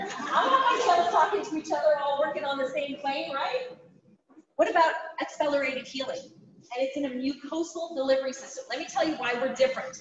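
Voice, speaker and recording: Speaking at a fairly quick pace, a woman uses a high pitch, lively intonation and an animated tone. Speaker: product presenter. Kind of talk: sales pitch. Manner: fast.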